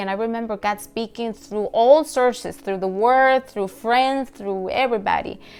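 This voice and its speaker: Speaking with a Latin American accent, a woman uses a fairly high pitch. Her pace is moderate and her intonation fairly even. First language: Spanish. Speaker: pastor. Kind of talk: devotional talk.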